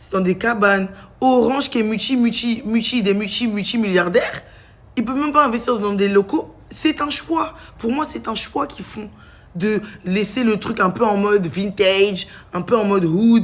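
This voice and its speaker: A woman's animated voice, fairly high-pitched, with ordinary pitch variation. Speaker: vlogger. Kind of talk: casual vlog rant. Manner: fast.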